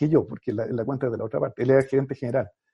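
This man's voice is somewhat breathy, with a dark, mellow tone at medium pitch. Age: 40s. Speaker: marketing agency founder and MBA professor. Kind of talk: interview. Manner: halting, many repetitions.

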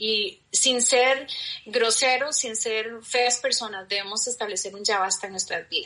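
The speaker talks at a fairly slow pace. Pitch varies in an ordinary way. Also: woman. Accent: Costa Rican. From Costa Rica. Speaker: guest. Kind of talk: casual chat.

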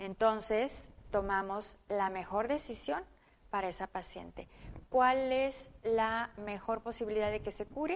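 A woman's fairly high voice at a fairly slow pace, with ordinary pitch variation, a normal speaking voice. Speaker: surgical oncologist. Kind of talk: interview.

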